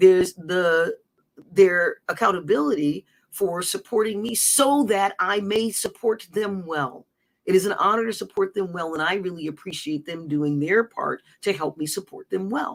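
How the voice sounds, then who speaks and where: At a moderate pace, the speaker's pitch varies in an ordinary way. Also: woman, medium pitch for a woman. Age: 60s. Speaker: livestream host and personal coach. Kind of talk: casual livestream monologue. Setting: live stream. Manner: animated, rambling with self-corrections.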